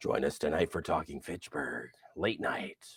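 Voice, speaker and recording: A man does a put-on character voice that comes out raspy. He speaks at a moderate pace, with a dry, close sound and no echo. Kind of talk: radio announcer.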